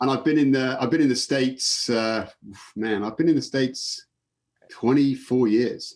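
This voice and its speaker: A man with an English accent, medium pitch, moderate pace and fairly even intonation. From England. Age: 50s. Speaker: sports photographer. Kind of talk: casual interview.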